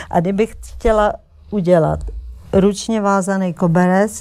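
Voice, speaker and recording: A woman speaks at a very slow pace. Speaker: textile artist and painter. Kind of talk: interview. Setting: TV studio.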